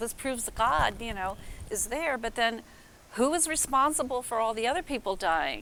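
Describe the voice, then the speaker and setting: With an American accent, a woman with a fairly high pitch speaks at a moderate pace and lively intonation against noticeable background noise. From Minnesota. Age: 70s. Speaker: convention attendee. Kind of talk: interview. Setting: convention. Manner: halting.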